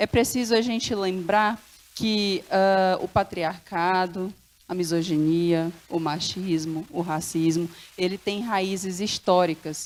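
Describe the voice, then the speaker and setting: Her pace is very slow. The woman speaks at a medium pitch with fairly even intonation. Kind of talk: panel talk. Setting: stage with audience.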